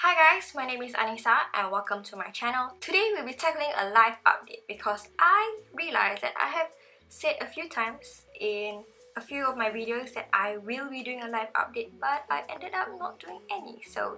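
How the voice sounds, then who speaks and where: A woman talks at a moderate pace in an energetic tone. Her high voice swings very widely in pitch and heavily in loudness. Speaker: beauty and lifestyle vlogger. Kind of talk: casual vlog talk. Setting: in her bedroom at night. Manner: hyper, energetic.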